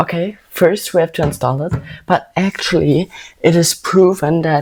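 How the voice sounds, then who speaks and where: Fairly slow in pace, a woman speaks with a dark, mellow tone and fairly even intonation. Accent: German. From Germany. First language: German. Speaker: vlogger. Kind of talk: casual vlog talk.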